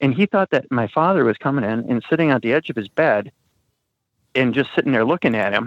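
A man talks at a very fast pace with an American accent. His pitch is medium and his intonation is lively. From Wisconsin. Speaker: paranormal experiencer. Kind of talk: personal storytelling. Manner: halting, many restarts.

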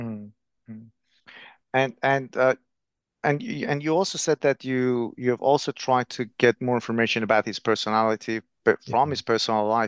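A man speaks at a moderate pace in a plain, everyday voice, medium in pitch, with fairly even intonation and a dry, close sound that has no echo. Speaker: podcast interviewer. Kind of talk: interview questions.

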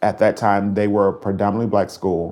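A man with a Southern US accent speaks in a fairly low pitch with a dark, mellow tone. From Mississippi. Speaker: gospel music director. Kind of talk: interview.

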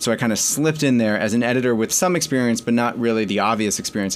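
Speaking very fast, a man holds a medium pitch with ordinary pitch variation. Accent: American. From New York and Connecticut. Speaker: magazine editor-in-chief. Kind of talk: interview.

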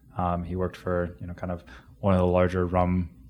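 The man has a very deep, low voice and an American accent. His intonation is monotone and flat. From Ohio, US Midwest. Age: 30s. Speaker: bartender. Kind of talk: interview. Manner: halting.

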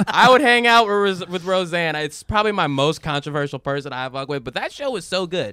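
Speaking at a fairly quick pace with hardly any pauses, a man uses a high pitch, very wide pitch swings and a bright, sharp tone on a very clean recording with a silent background. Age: 20s. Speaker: comedian and internet video creator. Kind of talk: casual chat.

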